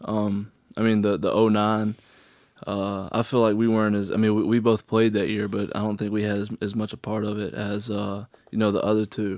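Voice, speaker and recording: A man's fairly low voice with a Southern US accent, fairly quick and monotone, on a very clean recording with a silent background. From Alabama and middle Tennessee. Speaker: college football player. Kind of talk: interview.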